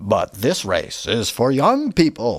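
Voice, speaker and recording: A man speaks in a put-on character voice at a fairly slow pace. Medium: read story. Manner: dismissive.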